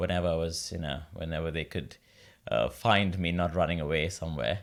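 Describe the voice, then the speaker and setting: Fairly quick and fairly even in intonation, the man's voice is very deep and low. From India, Mumbai. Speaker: opera singer. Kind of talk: interview.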